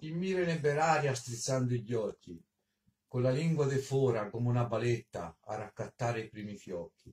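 A man's somewhat breathy voice unfolds at a fairly slow pace, with ordinary pitch variation. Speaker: poet. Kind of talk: poetry reading. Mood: gentle, nostalgic.

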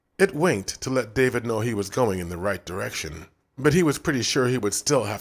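Reading aloud in a natural voice, the speaker uses lively intonation against a quiet background.

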